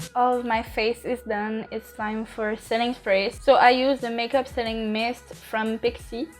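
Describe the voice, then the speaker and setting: Speaking with a French accent, a woman keeps a fairly high pitch, a monotone, flat intonation and a fairly slow pace. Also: hardly any pauses. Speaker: makeup youtuber. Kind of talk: tutorial; casual chat. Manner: halting.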